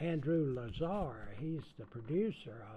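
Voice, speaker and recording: A somewhat breathy man speaks with very wide pitch swings. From US South. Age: 80s+. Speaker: songwriter and musician. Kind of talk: interview. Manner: halting.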